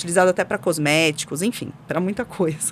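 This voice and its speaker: A woman talks at a fairly quick pace with a São Paulo accent. Her pitch is medium. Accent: São Paulo accent, noticeable. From São Paulo, Brazil. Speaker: specialty coffee expert. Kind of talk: podcast interview.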